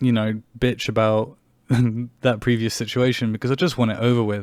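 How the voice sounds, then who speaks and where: Someone speaks in an English accent. The recording is very clean, with a silent background. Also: man. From England. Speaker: podcast host. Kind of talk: personal monologue podcast. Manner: animated.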